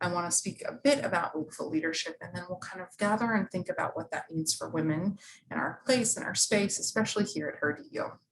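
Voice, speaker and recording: Somewhat breathy and medium in pitch, a woman speaks very fast with lively intonation, hardly any pauses, and big swings in loudness. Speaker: university staff presenter and instructor. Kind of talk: workshop presentation. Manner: animated.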